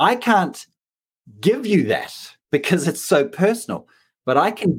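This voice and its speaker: A man speaks in a New Zealand accent. His pitch swings very widely. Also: very clean recording, silent background. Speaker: leadership coach. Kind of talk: interview.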